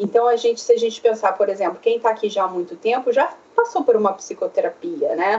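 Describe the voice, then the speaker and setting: Moderate pacing and ordinary pitch variation from a woman at medium pitch, amid noticeable background noise. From Brazil, Rio de Janeiro. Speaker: psychoanalyst. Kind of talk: interview. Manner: hesitant, many fillers.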